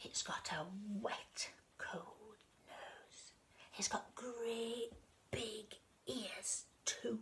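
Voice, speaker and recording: A woman whispers very slowly, often stopping for long stretches. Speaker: grandmother reading to grandchildren; former school storyteller. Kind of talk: children's storytime reading. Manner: warm, playful, expressive, interactive.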